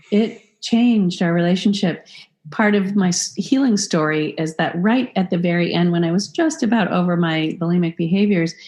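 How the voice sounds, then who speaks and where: Somewhat breathy speech at a moderate pace, with ordinary pitch variation, very even loudness and a quiet background. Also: woman, medium pitch for a woman. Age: 50s. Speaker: author and body positivity organization co-founder. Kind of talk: interview.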